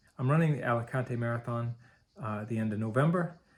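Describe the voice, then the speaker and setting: This man has a medium pitch, ordinary pitch variation and a somewhat breathy quality. The recording is very clean with a silent background. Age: 50s. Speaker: marathon coach and runner. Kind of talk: personal video blog monologue.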